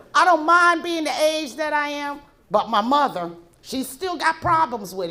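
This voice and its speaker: In a raised, projected voice with audible room echo, a woman with an American accent speaks fairly slowly at a high pitch, her bright, sharp tone moving in very wide pitch swings. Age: 60s. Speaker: comedian. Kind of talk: stand-up. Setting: stage with audience.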